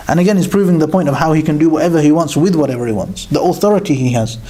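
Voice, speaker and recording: Speech comes at a very fast pace with ordinary pitch variation, set against noticeable background noise and audible room echo. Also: man. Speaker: Quran teacher. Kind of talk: religious lecture.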